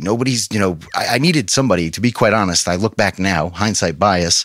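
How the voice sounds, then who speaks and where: Speaking with an American accent, a man talks at a very fast pace. His intonation is lively. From New York. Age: 30s. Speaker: pastor. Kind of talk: testimony. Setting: studio.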